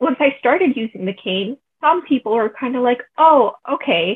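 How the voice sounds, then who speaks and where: A woman with an ordinary speaking voice, fairly high pitch, lively intonation and a moderate pace. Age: 20s. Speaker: university student with chronic illness. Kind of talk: casual interview.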